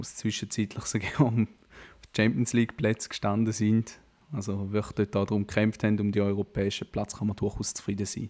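A man speaks with a dark, mellow tone. His pitch is fairly low and his pace moderate. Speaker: football podcast co-host. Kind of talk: casual chat.

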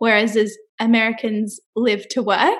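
A woman talks with an Australian accent. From Australia, Brisbane (Queensland). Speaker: public relations rep. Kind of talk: casual interview chat.

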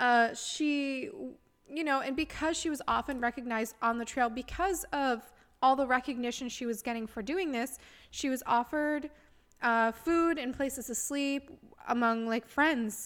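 This woman speaks with a high pitch and ordinary pitch variation. Her pace is moderate, and the recording is very clean with a silent background. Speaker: podcast host. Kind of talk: scripted-ish storytelling podcast monologue. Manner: excited, casual, enthusiastic.

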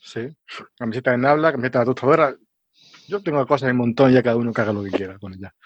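A man speaks at a medium pitch and a very fast pace, with long, frequent pauses. His loudness swings widely. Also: ordinary pitch variation. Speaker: geologist and science communicator. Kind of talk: casual science chat. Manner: halting, many fillers.

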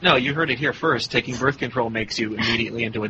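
Noticeable background noise sits behind a medium-pitched man speaking at a very fast pace. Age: 30s. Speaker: podcast host. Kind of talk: casual chat.

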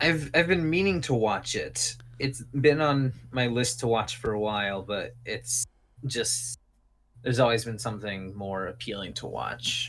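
At a fairly slow pace, a man talks in a plain, everyday voice of medium pitch with ordinary pitch variation. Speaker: podcaster guest. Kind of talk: casual chat.

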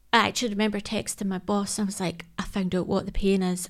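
A woman with a Scottish accent at a fairly quick pace. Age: 30s. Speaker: emergency services worker and charity ambassador. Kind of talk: interview about personal health.

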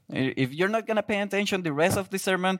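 A man talks with a Spanish accent. The recording is very clean, with a silent background. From Guatemala. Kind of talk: sermon. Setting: church. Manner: halting, non-native English.

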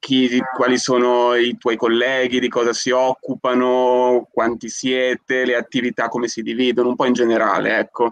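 This man speaks at a medium pitch and a moderate pace, his intonation monotone and flat, his loudness very even, with hardly any pauses. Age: 20s. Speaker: podcast co-host. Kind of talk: casual chat.

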